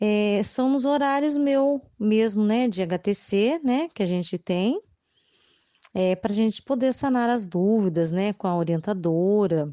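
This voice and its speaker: Speaking very slowly with lively intonation, a woman has a dark, mellow tone at medium pitch and very even loudness, her dry, close sound free of echo against a quiet background. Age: 30s. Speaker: preschool teacher. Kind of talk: interview. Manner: hesitant, frequent fillers.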